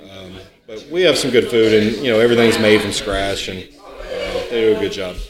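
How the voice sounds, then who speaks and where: Over noticeable background noise, a man talks at a fairly quick pace with big swings in loudness and ordinary pitch variation. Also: medium pitch for a man. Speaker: brewpub general manager. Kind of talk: casual interview chat.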